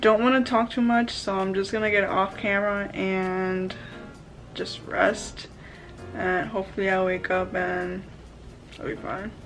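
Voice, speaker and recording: Against clear music in the background, a woman speaks fairly slowly with fairly even intonation and long, frequent pauses. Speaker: vlogger. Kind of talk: casual vlog chat. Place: home room. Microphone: phone near.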